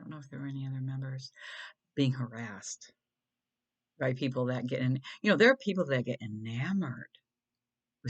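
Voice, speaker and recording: A soft-spoken woman talks at a fairly quick pace with a very deep, low pitch. Her loudness swings widely, and she leaves long, frequent pauses. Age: 60s. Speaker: video blogger. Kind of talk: casual monologue. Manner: halting.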